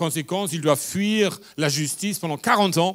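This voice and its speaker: This very clean recording has a silent background. A man speaks at a moderate pace with a fairly high pitch and lively intonation. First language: German (speaking French). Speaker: pastor. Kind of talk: sermon.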